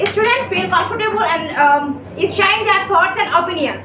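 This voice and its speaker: A woman speaks in a raised, projected voice at an extremely high pitch, in a Sylheti accent and at a fairly quick pace. Her pitch varies in an ordinary way, and there is noticeable background noise. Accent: Bangladeshi (Sylheti) English. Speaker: English language student; student debater. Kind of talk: debate speech. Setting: debate competition. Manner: halting. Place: classroom.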